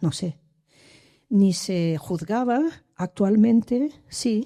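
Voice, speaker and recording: Her tone is dark and mellow. A woman speaks with ordinary pitch variation. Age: 60s. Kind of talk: public discussion comment. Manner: halting, many restarts.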